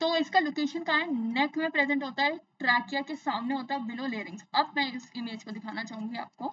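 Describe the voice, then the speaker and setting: A woman speaks at a moderate pace with hardly any pauses. Her pitch is high, with ordinary variation. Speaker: science teacher. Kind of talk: lecture. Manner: conversational, repetitive questioning.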